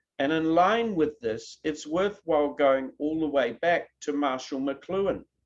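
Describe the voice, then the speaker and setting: With a New Zealand accent, a man speaks at a fairly slow pace and a fairly high pitch, using ordinary pitch variation and hardly any pauses. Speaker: professor. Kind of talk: keynote lecture. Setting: online video presentation. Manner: conversational.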